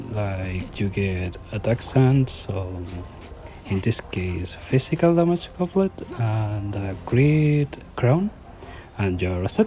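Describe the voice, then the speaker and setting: Delivered at a very slow pace with a non-native accent, the speech has music in the background. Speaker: gaming YouTuber. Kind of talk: game tutorial voiceover. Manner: halting.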